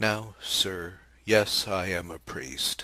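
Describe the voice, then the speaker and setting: A man's put-on character voice with a very deep, low pitch. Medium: read story. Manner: quiet, simple, patient.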